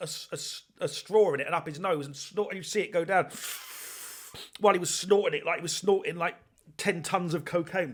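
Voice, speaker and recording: With an English accent, a man speaks fairly quickly in a high voice with ordinary pitch variation. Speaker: podcast host. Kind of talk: casual podcast monologue.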